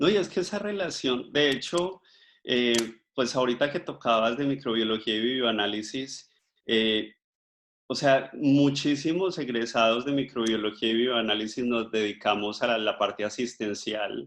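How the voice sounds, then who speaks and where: Against a quiet background, a man with a normal speaking voice talks fairly slowly at medium pitch, with ordinary pitch variation. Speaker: microbiologist and life coach giving a talk. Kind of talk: online talk.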